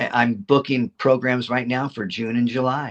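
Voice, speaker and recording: In a dry, close sound with no echo, a man talks in a monotone, flat intonation. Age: 70s. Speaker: reptile educator. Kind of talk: casual chat. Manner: halting.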